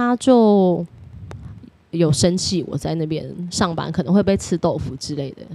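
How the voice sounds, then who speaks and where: A woman with a fairly low pitch and a dark, mellow tone speaks at a fairly slow pace, her intonation lively. Her loudness swings widely, and she takes long, frequent pauses. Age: 30s. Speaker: former hostess. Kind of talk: interview.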